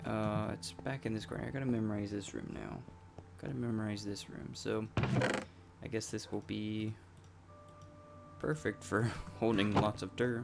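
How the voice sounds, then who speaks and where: A man's bored tone at a moderate pace, with music in the background. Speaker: gaming YouTuber. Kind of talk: gameplay commentary. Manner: flat, bored-sounding; halting, many fillers.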